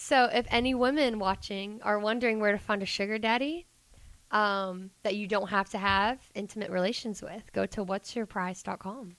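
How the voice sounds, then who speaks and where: A woman with a Georgia accent and ordinary pitch variation on a very clean recording with a silent background. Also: medium pitch for a woman, moderate pace. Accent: Southern US, Georgia. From Georgia, US South. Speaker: guest, club dancer and student. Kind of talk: casual chat interview.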